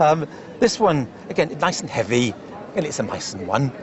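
A man with a British accent at a moderate pace, very wide pitch swings, and noticeable background noise. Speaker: antiques specialist. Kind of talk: casual chat.

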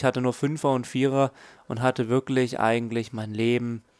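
A man speaks at medium pitch and a moderate pace with ordinary pitch variation. The recording is very clean, with a silent background and a dry, close sound with no echo. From southern Germany. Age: 20s. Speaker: gaming YouTuber. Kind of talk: casual vlog Q&A. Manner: halting.

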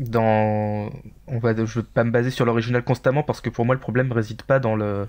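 A man is speaking. His intonation is fairly even. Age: 30s. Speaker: gaming community member, podcast panelist. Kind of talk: casual chat.

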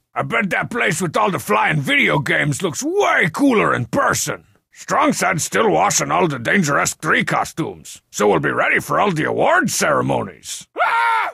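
Raspy and put on as a character voice, the speech runs at a moderate pace with hardly any pauses. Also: man, fairly high pitch for a man. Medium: video game dub. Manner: cocky, sarcastic.

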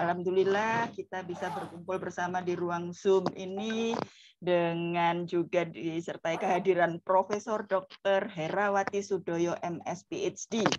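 Over noticeable background noise, a woman talks at a very slow pace with medium pitch and fairly even intonation. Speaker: lecturer, session moderator. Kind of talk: moderating a lecture. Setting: video call. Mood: friendly, formal. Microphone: video call.

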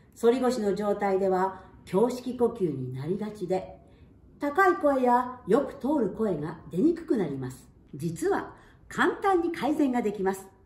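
A woman speaks at a fairly slow pace in a fairly high pitch, with big swings in loudness and audible room echo. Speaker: singer and voice trainer. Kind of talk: voice lesson talk to camera. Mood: warm, cheerful. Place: home room. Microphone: camera far.

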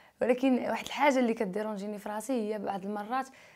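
A woman speaks in a dark, mellow tone. Her pitch varies in an ordinary way. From Morocco. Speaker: YouTuber; interviewee. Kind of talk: interview. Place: studio. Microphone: lapel.

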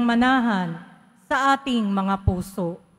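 A woman speaks with ordinary pitch variation. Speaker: lay lector. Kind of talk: prayer of the faithful intentions. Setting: church.

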